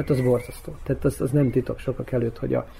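Noticeable background noise sits behind a man speaking at a fairly quick pace, with medium pitch and ordinary pitch variation. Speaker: actor and former theatre director. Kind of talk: radio interview.

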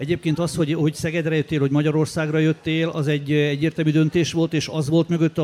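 At a very fast pace, a man speaks with a fairly high pitch and fairly even intonation, the sound dry and close with no echo. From Transylvania, Romania. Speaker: sports journalist. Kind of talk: interview. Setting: stage with audience.

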